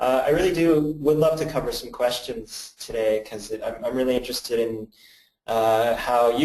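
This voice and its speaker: With a Canadian accent, a man speaks in an ordinary speaking voice at a medium pitch and moderate pace. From Canada. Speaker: creative agency director and presenter. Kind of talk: webinar presentation. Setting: badly lit room, video webinar. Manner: casual, many filler words.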